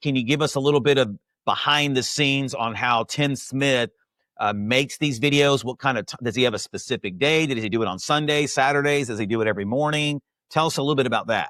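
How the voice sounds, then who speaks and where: A loud, energetic, passionate man at a very fast pace, his bright, sharp tone showing ordinary pitch variation, dry and close with no echo, on a very clean recording with a silent background. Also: medium pitch for a man. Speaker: podcast host interviewing insurance agents. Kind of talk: interview podcast. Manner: loud and fast.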